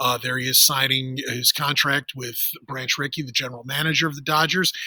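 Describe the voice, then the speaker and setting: The speech moves at a fairly quick pace in a monotone, flat intonation. Loudness swings widely, and there is noticeable background noise. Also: man, fairly high pitch for a man. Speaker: teacher. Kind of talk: classroom article reading with commentary. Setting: outdoors.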